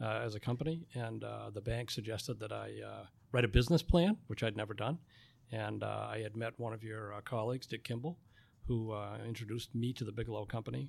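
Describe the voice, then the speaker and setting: A man speaks in a plain, everyday voice with ordinary pitch variation. The recording is very clean, with a silent background. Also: fairly low pitch for a man. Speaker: printing company owner. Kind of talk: interview. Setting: studio.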